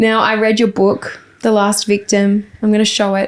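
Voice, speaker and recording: The speaker has an Australian accent. The pace is fairly slow. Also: woman. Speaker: podcast host. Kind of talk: podcast interview.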